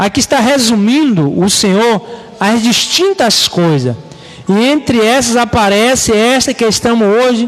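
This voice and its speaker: A man speaks at a fairly slow pace in a high voice with ordinary pitch variation. Music plays in the background. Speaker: pastor. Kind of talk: bible study sermon. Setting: live stream.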